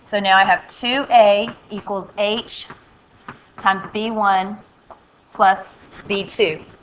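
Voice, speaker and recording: With noticeable background noise behind her, a woman at medium pitch speaks very slowly, her intonation fairly even and her pauses long and frequent. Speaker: math teacher. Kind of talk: recorded lesson tutorial. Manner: halting.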